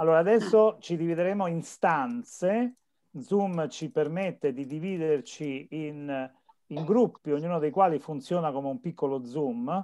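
Over a quiet background, a dark, mellow voice speaks at a fairly slow pace. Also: man, fairly high pitch for a man, ordinary pitch variation. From central Italy. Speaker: course moderator. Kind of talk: online seminar. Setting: video call. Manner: halting. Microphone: video call.

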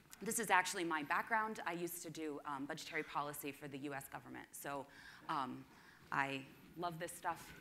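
Against light background noise, the tone is bright and sharp, with ordinary pitch variation. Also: woman. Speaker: conference presenter. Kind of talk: presentation talk. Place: hall.

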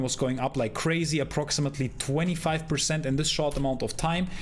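The pace is moderate. A man keeps his intonation fairly even. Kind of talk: commentary. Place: home room.

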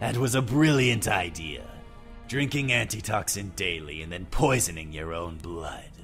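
Over clear music in the background, a man speaks in a very deep, low pitch with very wide pitch swings. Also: moderate pace. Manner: cold, contemptuous, menacing.

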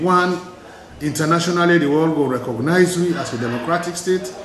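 Speech moves at a fairly quick pace with ordinary pitch variation. Light background noise and audible room echo are present. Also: man. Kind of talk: interview answer. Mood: calm, earnest appeal for peace. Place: office. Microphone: camera far.

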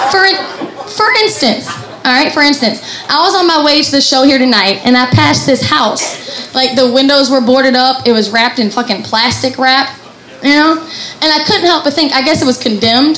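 Over noticeable background noise and audible room echo, a woman talks at a moderate pace with a high pitch. Her intonation is lively and her loudness very even. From Kentucky (Appalachian mountains). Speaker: comedian. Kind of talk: stand-up. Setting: stage with audience.

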